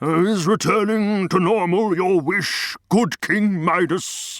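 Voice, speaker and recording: A put-on character voice at a very slow pace. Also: man, high pitch for a man. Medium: audio drama.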